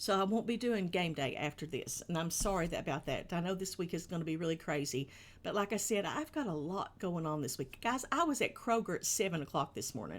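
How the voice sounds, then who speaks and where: A woman with a Kentucky accent, fairly low pitch and lively intonation, at a fairly quick pace with hardly any pauses, on a very clean recording with a silent background. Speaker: children's show streamer. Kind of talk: live stream kids' show host chat. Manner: casual, chatty.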